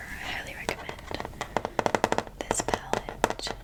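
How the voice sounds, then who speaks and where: Noticeable noise sits in the background. Under it, a woman whispers. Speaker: ASMR creator. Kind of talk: ASMR makeup tutorial. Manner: whispered.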